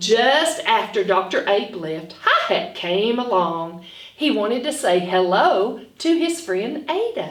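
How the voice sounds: A woman speaks slowly at a fairly high pitch, with big pitch swings. Strong room echo surrounds her voice.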